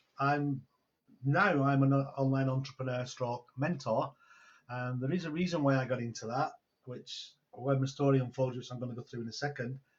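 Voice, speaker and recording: With a Manchester accent, a man speaks at a moderate pace with a medium pitch and fairly even intonation. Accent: Greater Manchester English. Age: 60s. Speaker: online entrepreneur and mentor. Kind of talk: casual interview chat. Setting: video call.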